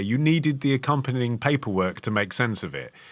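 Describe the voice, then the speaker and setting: Very fast, lively intonation from a medium-pitched man, on a very clean recording with a silent background. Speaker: podcast co-host. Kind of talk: history podcast discussion.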